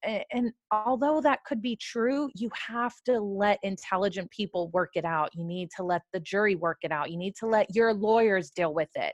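Using a normal speaking voice with an American accent, a woman talks at a moderate pace with lively intonation and medium pitch, the sound dry and close with no echo. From California. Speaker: criminal defense attorney. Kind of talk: casual discussion.

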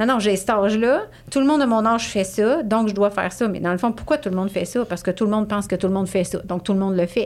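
Delivered at a very fast pace with a Quebec accent, the voice shows ordinary pitch variation. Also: woman, medium pitch for a woman. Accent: Québécois French. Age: 40s. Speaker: positive psychology coach. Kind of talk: casual chat.

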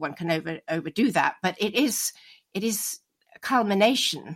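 A woman speaks at medium pitch in a British accent. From United Kingdom. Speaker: expert on myth and history. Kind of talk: interview discussion. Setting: remote call from home.

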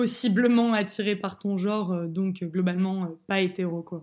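Speaking very slowly, a woman of medium pitch keeps her intonation fairly even. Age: 20s. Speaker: student sharing personal testimony. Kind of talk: testimony. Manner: hesitant with fillers.

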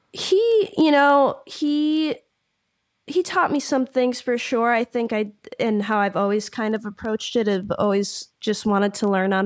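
A woman in an American accent with a plain, everyday voice, ordinary pitch variation, and a fairly slow pace. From Michigan. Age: young. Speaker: ukulele musician. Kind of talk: interview conversation. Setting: remote call.

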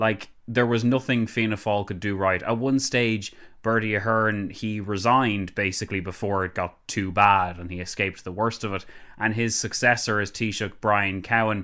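In an Irish accent, a man speaks at a moderate pace and a fairly low pitch with fairly even intonation and a bright, sharp tone, in a very clean recording with a silent background. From Ireland. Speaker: political commentator. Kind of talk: casual chat.

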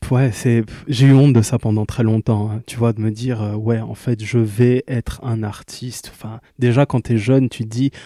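At medium pitch and a moderate pace, a man speaks in a dark, mellow tone with monotone, flat intonation, in a very clean recording with a silent background and a dry, close sound with no echo. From Kinshasa, DR Congo. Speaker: singer. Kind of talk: casual interview. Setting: studio. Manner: halting.

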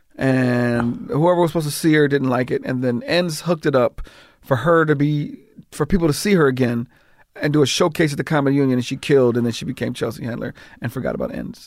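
A man with an American accent talks at a very fast pace. His pitch is fairly high, with ordinary pitch variation. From Los Angeles, California. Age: 50s. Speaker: comedian and TV writer-director. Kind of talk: casual interview chat. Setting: garage studio.

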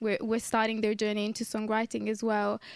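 A woman with an Italian accent speaks in a fairly high voice. The sound is dry and close with no echo, on a very clean recording with a silent background. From northern Italy (Modena). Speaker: singer-songwriter and producer. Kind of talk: casual interview. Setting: radio studio.

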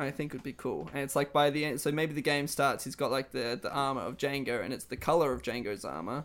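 Speaking very fast with hardly any pauses, a man with a fairly high pitch, ordinary pitch variation and vocal fry is heard in a very clean recording with a silent background. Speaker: podcast co-host. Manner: excited, enthusiastic.

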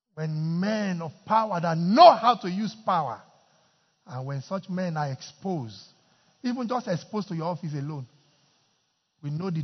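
Speaking in a Nigerian accent at a moderate pace, the voice has lively intonation and big swings in loudness. Long, frequent pauses break it up. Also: man. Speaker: pastor. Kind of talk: fervent intercessory prayer led before a congregation, sermon style. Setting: church. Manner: loud, urgent, impassioned, repetitive pleading that calls the crowd to join in.

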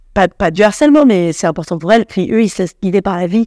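Dry and close with no echo, a woman's dark, mellow voice at medium pitch races along at a very fast pace with ordinary pitch variation. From Paris. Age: 30s. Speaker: comedian. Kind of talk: casual chat. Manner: halting.

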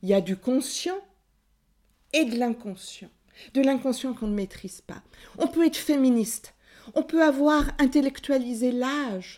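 A woman's high-pitched voice with a dark, mellow tone, passionate and lively in intonation, at a fairly slow pace with long, frequent pauses, on a very clean recording with a silent background. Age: 60s. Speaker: psychoanalyst and author. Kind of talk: testimony.

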